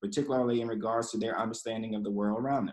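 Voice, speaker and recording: A man's voice against a quiet background. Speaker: nonprofit program director; panel moderator. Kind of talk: panel moderation. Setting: video call. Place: home room. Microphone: video call.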